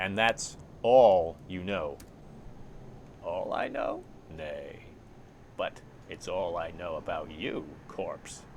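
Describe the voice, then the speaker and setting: Using a put-on character voice, a man speaks at a very slow pace with long, frequent pauses, over clear background noise and hissing. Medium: actual play. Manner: sly, hissing, mocking.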